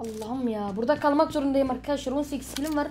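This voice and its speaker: A woman speaks with a high-pitched voice. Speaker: gaming youtuber. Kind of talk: casual gaming commentary. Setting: playing together at home. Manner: animated, joking.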